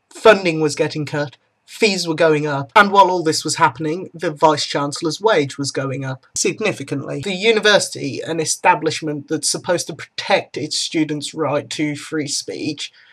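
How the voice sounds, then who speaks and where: In a British accent, a man with a fairly high pitch talks at a moderate pace with ordinary pitch variation and hardly any pauses. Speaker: student vlogger. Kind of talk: opinion vlog. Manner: subdued.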